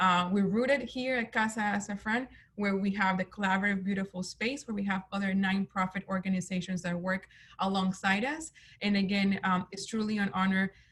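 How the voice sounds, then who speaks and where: A woman talks at a moderate pace in a somewhat breathy, medium-pitched voice with fairly even intonation. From Colombia, then Atlanta as teen. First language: Spanish. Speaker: nonprofit executive director. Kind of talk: interview. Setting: video call.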